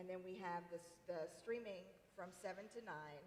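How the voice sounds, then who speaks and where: There is noticeable background noise as a woman speaks with an American accent. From US South, Tennessee. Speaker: TV morning show reporter and anchor. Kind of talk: interview conversation.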